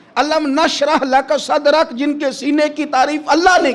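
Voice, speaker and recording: Against noticeable background noise, a man speaks with a passionate tone at an extremely high pitch. His intonation stays fairly even. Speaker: Islamic preacher. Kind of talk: Islamic sermon storytelling. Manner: emotional, passionate.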